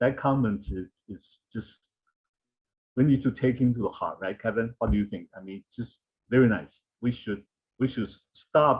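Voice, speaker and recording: Speaking with a non-native accent, a man uses ordinary pitch variation and long, frequent pauses, his loudness swinging widely. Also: medium pitch for a man, moderate pace. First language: not English. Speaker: anthropologist. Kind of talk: panel discussion.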